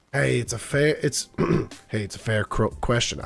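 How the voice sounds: Putting on a character voice, a man speaks at a moderate pace with a raspy, medium-pitched sound.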